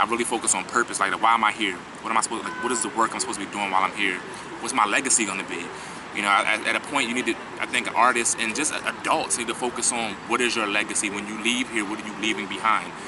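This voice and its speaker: Talking at a very fast pace, a man with an American accent keeps fairly even intonation at medium pitch over noticeable background noise. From Philadelphia. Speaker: spoken word poet. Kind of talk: interview answer. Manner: casual.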